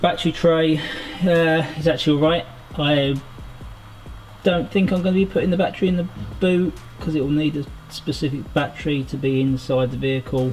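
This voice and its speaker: Over music in the background, a man talks with ordinary pitch variation and long, frequent pauses. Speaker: car mechanic and builder. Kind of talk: casual voice-over narration for a car build video.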